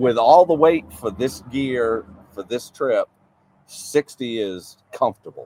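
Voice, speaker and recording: A man with a Maine accent and a medium pitch speaks at a very slow pace with ordinary pitch variation. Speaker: off-road vehicle builder, subscriber. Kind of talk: casual interview.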